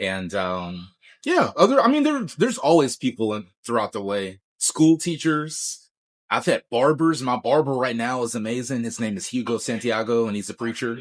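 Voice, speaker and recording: An unremarkable speaking voice at a moderate pace, lively intonation, and a quiet background. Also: man, medium pitch for a man. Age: 40s. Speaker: guitarist. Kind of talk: casual interview.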